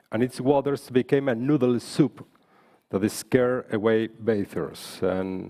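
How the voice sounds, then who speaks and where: This man has a dark, mellow tone and a Spanish accent. He talks at a fairly slow pace. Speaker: politician. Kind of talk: panel speech.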